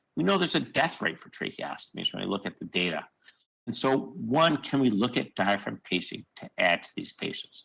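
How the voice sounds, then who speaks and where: A man's medium-pitched voice with vocal fry and a bright, sharp tone, very wide pitch swings, big swings in loudness, at a fairly quick pace. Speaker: surgeon. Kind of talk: conference lecture. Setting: video call. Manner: fast.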